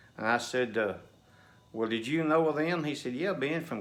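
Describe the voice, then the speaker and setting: Bright and sharp in tone, a man speaks with lively intonation amid audible room echo. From Nashville, Tennessee. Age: 60s. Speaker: storyteller, local history buff. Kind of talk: casual storytelling. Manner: folksy, halting with fillers.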